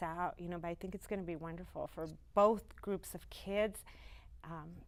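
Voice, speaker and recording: Speech at a moderate pace comes in a normal speaking voice with an American accent and fairly even intonation. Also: woman. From El Paso, Texas. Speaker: orchestra operations manager. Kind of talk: TV interview.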